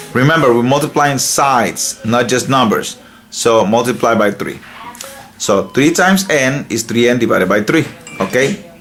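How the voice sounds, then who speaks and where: A man at medium pitch with lively intonation and a fairly slow pace, over noticeable background noise. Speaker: math teacher. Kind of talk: tutorial. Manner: casual.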